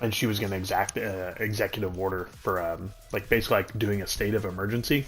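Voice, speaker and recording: A man with a fairly low voice talks at a very fast pace. He hardly pauses, and music plays in the background. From New Mexico, small oil-field town. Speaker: gaming streamer. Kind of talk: casual chat. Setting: live stream. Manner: animated.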